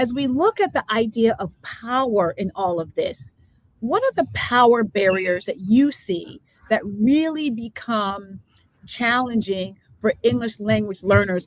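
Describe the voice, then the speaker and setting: The voice is somewhat breathy, with a slight New Jersey accent. It moves at a fairly slow pace, animated in tone and lively in intonation. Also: woman, fairly high pitch for a woman. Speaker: education talk show host. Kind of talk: live interview show.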